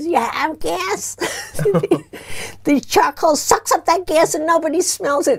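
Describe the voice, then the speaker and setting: Putting on a character voice, a woman speaks in a squeaky, extremely high pitch at a fairly slow pace with long, frequent pauses. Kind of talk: interview answer. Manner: selling a product. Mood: amused, laughing.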